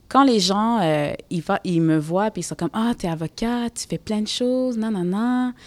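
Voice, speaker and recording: A woman at medium pitch uses a plain, everyday voice, keeping a moderate pace with hardly any pauses. The very clean recording has a silent background and a dry, close sound with no echo. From Quebec, Montreal (Côte-des-Neiges). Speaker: lawyer and social activist. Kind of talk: casual conversation during museum visit.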